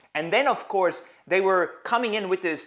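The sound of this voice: Using a fairly bright tone and a high pitch, a man talks at a moderate pace with ordinary pitch variation.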